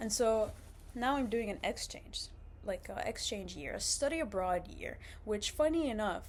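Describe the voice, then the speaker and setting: A woman with an Arabic accent at a moderate pace. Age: 20s. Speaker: vlogger, university student. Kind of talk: casual vlog monologue. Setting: indoors, seated on a couch. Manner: casual, many fillers and restarts.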